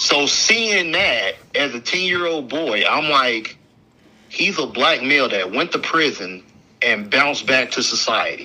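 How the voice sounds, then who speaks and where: Through noticeable background noise, a man speaks at a fairly high pitch, his voice making very wide pitch swings. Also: fairly slow pace. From US South, Alabama. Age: 20s. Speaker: pro wrestler. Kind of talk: interview.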